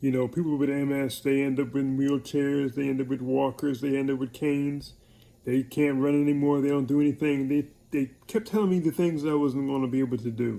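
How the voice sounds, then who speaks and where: A man with a New York accent speaks fairly quickly in a fairly high pitch with a dark, mellow tone. His loudness stays very even, and his intonation is fairly even. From New York (Hollis, Queens). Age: 60s. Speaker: military veteran with MS. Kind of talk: personal video message.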